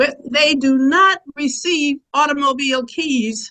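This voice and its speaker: A woman projects a raised, high-pitched voice with a bright, sharp tone. She speaks at a very slow pace with ordinary pitch variation. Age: 80s+. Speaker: audience member. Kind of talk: public comment. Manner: halting.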